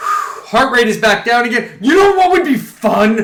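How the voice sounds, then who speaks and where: A man speaks in a raised, projected voice at an extremely high pitch, animated and swinging very widely in pitch. Audible room echo surrounds him. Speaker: gaming streamer. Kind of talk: live gameplay commentary. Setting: live stream. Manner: loud.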